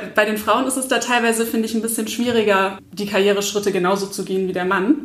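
Ordinary pitch variation shapes speech heard with audible room echo. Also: woman. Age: 30s. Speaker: blogger and stress management trainer. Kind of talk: casual interview.

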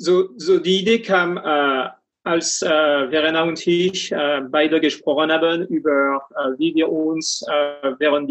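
Speaking at a very slow pace with ordinary pitch variation, the voice comes with a French accent. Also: man. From France. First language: French (speaking German). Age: 40s. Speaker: coach and finance executive. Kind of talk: interview. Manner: halting, many fillers.

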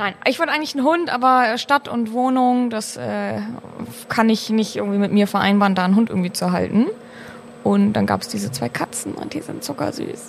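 A woman speaks at a fairly quick pace amid noticeable background noise. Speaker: master brewer. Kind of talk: casual chat. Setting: brewhouse.

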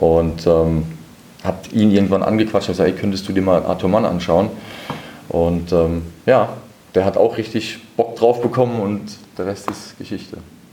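Long, frequent pauses mark a man's fairly even delivery over noticeable background noise. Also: fairly low pitch for a man, moderate pace. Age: 30s. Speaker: boxing manager. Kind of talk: interview.

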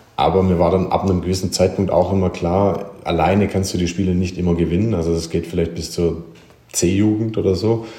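In a room with audible echo, a man with a very deep, low pitch speaks at a fairly quick pace, somewhat breathy and in a flat monotone. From Germany, small village. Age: 30s. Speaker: former professional handball player, coach. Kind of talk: interview.

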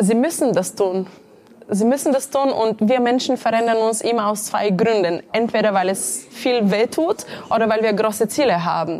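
Over noticeable background noise, a woman with a Bulgarian accent talks at a moderate pace and a fairly high pitch, with ordinary pitch variation and very even loudness. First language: Bulgarian (speaking German). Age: 30s. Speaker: entrepreneur and career coach. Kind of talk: interview.

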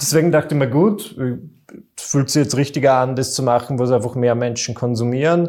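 A man's fairly high-pitched voice with a dark, mellow tone at a fairly quick pace. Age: 20s. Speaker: entertainer, podcast co-host. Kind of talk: casual chat.

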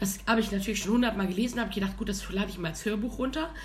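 Noticeable background noise and audible room echo around a woman's fairly high-pitched voice. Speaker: podcast co-host. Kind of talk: casual chat. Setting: studio.

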